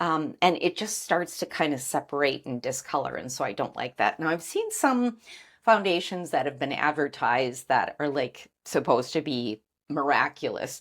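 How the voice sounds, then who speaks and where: On a very clean recording with a silent background, a woman speaks at a moderate pace with lively intonation and a very deep, low pitch. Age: 60s. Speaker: beauty vlogger. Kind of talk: tutorial. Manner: casual.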